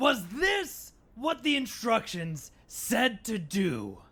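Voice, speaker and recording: Here is a put-on character voice with a fairly high pitch. The delivery comes at a very slow pace. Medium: audio drama. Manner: dry, deadpan.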